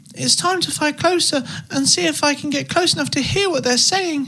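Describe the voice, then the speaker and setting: A put-on character voice, squeaky and high-pitched, moves at a moderate pace. Light background noise sits behind it. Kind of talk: bedtime story. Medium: read story.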